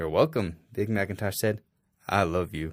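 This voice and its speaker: In a very clean recording with a silent background, a man uses a put-on, rumbling character voice, fairly low in pitch, with ordinary pitch variation at a moderate pace. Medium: read story.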